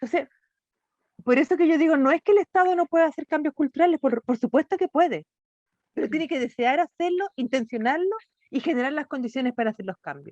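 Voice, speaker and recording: Very fast and with lively intonation, a woman talks at a high pitch in a dry, close sound with no echo. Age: 60s. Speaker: NGO director. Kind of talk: interview conversation.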